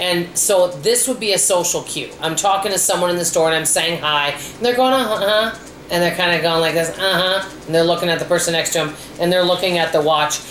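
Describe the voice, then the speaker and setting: A woman's fairly low, animated voice in an American accent at a fairly quick pace, with audible room echo and noticeable background noise. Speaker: frugal living vlogger. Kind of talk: casual vlog monologue. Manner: animated, hyper.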